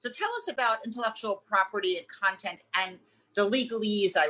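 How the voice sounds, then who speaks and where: A woman with a New York accent talks at a fairly quick pace. Her tone is bright and sharp, with ordinary pitch variation. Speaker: business consultant and webinar host. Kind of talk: webinar interview.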